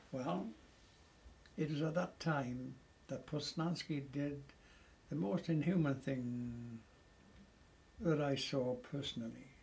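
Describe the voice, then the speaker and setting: A man at a very slow pace, fairly high pitch, somewhat breathy, with ordinary pitch variation and long, frequent pauses. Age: 80s+. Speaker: war veteran. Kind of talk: interview answer.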